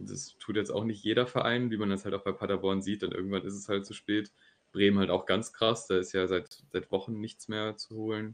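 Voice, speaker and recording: Fairly low in pitch, a man talks at a fairly quick pace in a monotone, flat intonation. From Germany, near Düsseldorf. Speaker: football podcast co-host. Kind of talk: casual chat.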